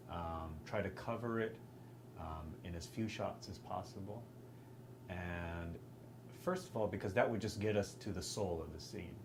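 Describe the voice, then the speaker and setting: A man with an American accent and a fairly low pitch at a moderate pace, with ordinary pitch variation and long, frequent pauses, amid audible room echo and noticeable background noise. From Texas. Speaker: film director and actor. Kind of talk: interview. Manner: halting, with many fillers.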